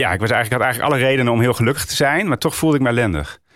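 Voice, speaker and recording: Very clean recording of a male speaker, background silent. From northern Netherlands, Roden (Drenthe). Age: 40s. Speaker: author and Dutch teacher. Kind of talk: interview about grief. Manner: halting, many fillers.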